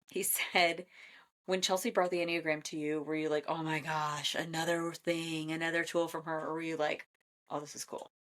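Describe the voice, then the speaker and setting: With an American accent, a woman speaks at a fairly low pitch and a moderate pace in an animated tone. The recording is very clean, the background silent. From Iowa, US Midwest. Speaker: podcast host and Enneagram coach. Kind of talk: casual chat.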